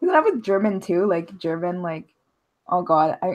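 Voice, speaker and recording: A woman at medium pitch with a Montreal accent. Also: very clean recording, silent background. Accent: Montreal Canadian English. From Canada, Montreal, Quebec. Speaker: social media personality. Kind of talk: casual chat. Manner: fast.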